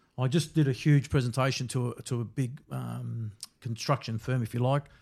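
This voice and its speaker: A somewhat breathy man with an Australian accent, medium pitch and ordinary pitch variation, on a very clean recording with a silent background. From Melbourne, Australia (Brunswick). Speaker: security company founder. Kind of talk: interview.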